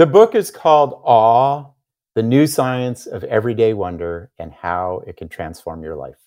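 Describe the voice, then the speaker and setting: With an American accent, a man speaks fairly slowly at a medium pitch, his pitch swinging very widely and his loudness shifting greatly. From United States. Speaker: psychologist and author. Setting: remote interview.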